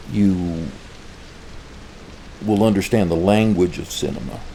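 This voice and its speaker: Fairly slow speech from a man with a fairly low pitch, over noticeable background noise. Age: old. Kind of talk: casual talk to camera.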